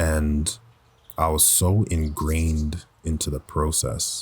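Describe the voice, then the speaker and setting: A man's very deep, low voice, somewhat breathy. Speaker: voice actor. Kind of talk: personal reflective talk. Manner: reflective, conversational.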